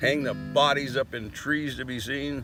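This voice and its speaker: The man's voice carries vocal fry. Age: 70s. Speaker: vlogger with ALS. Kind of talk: monologue. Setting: outdoors. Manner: halting.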